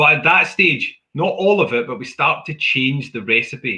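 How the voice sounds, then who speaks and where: A man with a Scottish accent, ordinary pitch variation and a quiet background. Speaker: whisky maker; presenter. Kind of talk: guided whisky tasting. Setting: video call. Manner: jokey. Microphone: earbuds.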